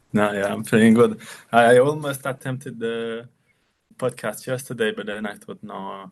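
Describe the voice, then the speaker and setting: A man's medium-pitched voice with a French accent and fairly even intonation. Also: moderate pace, big swings in loudness. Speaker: watchmaker and brand founder. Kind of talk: casual interview.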